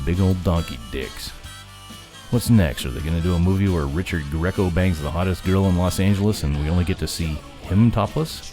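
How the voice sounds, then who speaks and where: A man's very deep, low pitch with ordinary pitch variation at a moderate pace, with music in the background. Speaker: voice actor / podcast announcer. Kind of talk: comedic podcast intro and outro read. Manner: sarcastic, irreverent, comedic.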